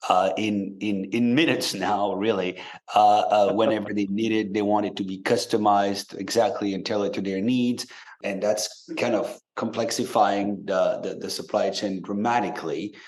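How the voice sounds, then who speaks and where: Delivered at a moderate pace with a French accent, the speech keeps a fairly even intonation. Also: man, fairly low pitch for a man. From France. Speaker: tech company CEO. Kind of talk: podcast interview. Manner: hesitant, many fillers.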